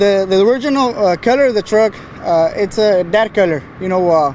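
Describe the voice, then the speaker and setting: A man's high-pitched voice with an American accent, lively intonation and very even loudness, over noticeable background noise. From Texas, San Antonio. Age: 20s. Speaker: truck painter and builder. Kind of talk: casual interview. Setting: outdoors at a truck show. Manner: halting, many fillers.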